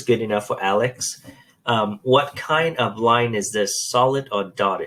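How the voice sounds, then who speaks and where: A man's ordinary speaking voice, medium in pitch, at a moderate pace with ordinary pitch variation. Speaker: math teacher. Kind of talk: tutorial.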